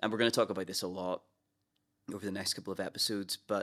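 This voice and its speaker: A man speaks at a fairly low pitch with a Northern Irish accent. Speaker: pastor. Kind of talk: casual chat.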